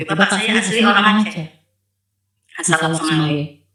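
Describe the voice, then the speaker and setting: A woman with a Sumatran accent speaks in a bright, sharp tone, with ordinary pitch variation. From North Sumatra, Asahan Regency. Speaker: convert giving testimony. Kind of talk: testimony. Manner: halting.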